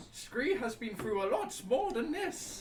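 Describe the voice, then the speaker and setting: Over clear background noise, a put-on character voice at a fairly high pitch moves at a fairly slow pace with very wide pitch swings. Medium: actual play. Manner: speaks of itself in third person, broken grammar.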